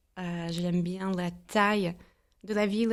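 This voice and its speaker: This is a woman's voice. She delivers every line in a flat monotone. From US Midwest, St. Louis, Missouri. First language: English (speaking French). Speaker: entrepreneur and mastermind founder. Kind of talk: podcast interview. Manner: hesitant, many filler sounds.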